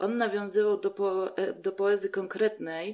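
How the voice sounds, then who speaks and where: A woman's medium-pitched voice at a very slow pace. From southeastern Poland (Podkarpacie). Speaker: artist and community activist. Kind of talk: casual interview.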